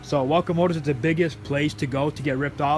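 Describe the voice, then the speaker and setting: Over noticeable background noise, a man talks at a very fast pace. His pitch is fairly high, with ordinary variation. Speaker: car vlogger. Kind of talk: casual vlog monologue. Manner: casual, repetitive filler phrases.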